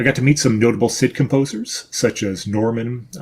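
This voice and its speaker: With a strong American accent, a man talks at a moderate pace. His pitch sits in the medium range. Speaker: event presenter, retro computing enthusiast. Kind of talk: pre-recorded video presentation. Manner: casual, with fillers.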